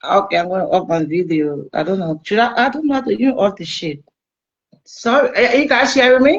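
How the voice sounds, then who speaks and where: A woman's fairly high voice with a Liberian accent, at a fairly quick pace with very wide pitch swings. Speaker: caller. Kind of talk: casual chat. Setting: video call. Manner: halting.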